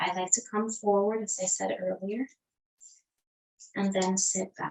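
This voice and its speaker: A woman's calm, medium-pitched voice with a non-native accent. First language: not English. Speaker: yoga teacher. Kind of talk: guided yoga class. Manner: calm, instructive.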